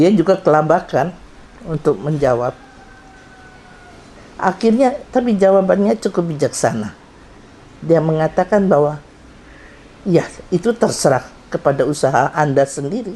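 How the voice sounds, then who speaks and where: With very wide pitch swings but very even loudness, the voice moves at a moderate pace with long, frequent pauses over noticeable background noise. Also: woman, fairly low pitch for a woman. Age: 70s. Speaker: doctor and karate instructor. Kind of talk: anniversary testimony speech.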